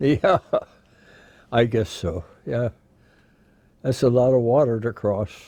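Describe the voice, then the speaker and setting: Dark and mellow, a man's medium-pitched voice moves at a fairly slow pace with long, frequent pauses, in a Midwestern American accent. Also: ordinary pitch variation. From Iowa, USA. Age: 90s. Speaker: war veteran. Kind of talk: interview answer.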